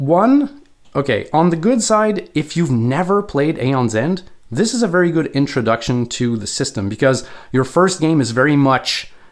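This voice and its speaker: On a very clean recording with a silent background, a speaker with a Quebec accent moves at a moderate pace through very wide pitch swings. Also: man. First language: French. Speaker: board game video creator. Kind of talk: tutorial. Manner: casual, with frequent fillers.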